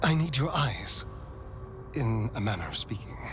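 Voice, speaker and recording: A man puts on a character voice at a medium pitch and a moderate pace. Loud background noise runs behind him. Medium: machinima. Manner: witty, sharp.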